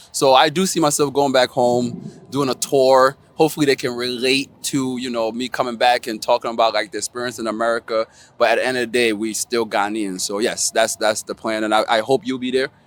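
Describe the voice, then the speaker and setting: A man at medium pitch and a fairly quick pace, the sound dry and close with no echo. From Ghana (Tema) until age four, raised in the Bronx, New York. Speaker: comedian. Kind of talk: interview. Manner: animated.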